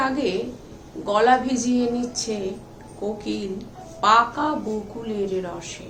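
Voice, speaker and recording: Noticeable background noise can be heard behind a woman speaking. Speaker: writer. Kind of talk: poetry reading.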